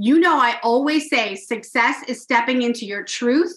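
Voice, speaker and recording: Bright, sharp tone from a woman with a high voice. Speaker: podcast host. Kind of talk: podcast intro and interview. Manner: animated, enthusiastic.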